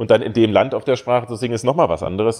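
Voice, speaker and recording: The man's voice sits at a medium pitch. He talks very fast. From Saxony-Anhalt, Germany (Bitterfeld-Wolfen). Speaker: opera singer. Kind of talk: casual interview chat.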